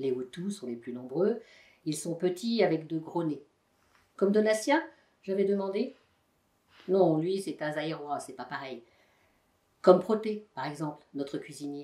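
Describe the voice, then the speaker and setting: With lively intonation and big swings in loudness, a woman with a fairly low voice talks at a fairly slow pace, leaving long, frequent pauses. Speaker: volunteer voice donor. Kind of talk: novel reading.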